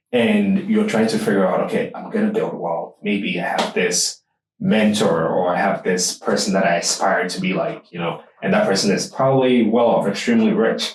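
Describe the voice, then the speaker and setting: The speaker is a man. He has a Ghanaian accent. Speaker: podcast host. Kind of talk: casual interview chat.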